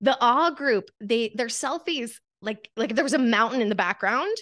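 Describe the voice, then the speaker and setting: A woman speaks with an American accent at a fairly slow pace, her pitch high. Her tone is bright and sharp, and her intonation lively. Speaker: coach and photographer. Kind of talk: casual interview chat.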